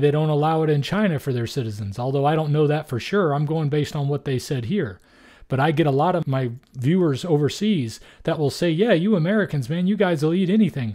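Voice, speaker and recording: The man's voice is fairly high, with a dark, mellow tone. He speaks at a fairly quick pace against a quiet background. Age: 50s. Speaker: YouTuber reacting to interview. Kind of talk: video reaction commentary. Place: home room. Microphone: studio mic.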